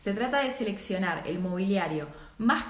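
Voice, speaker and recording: A woman speaks at a moderate pace and a medium pitch, with ordinary pitch variation. Audible room echo and noticeable background noise fill the recording. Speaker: architecture and design teacher. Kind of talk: live online class. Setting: livestream. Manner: many filler hesitations.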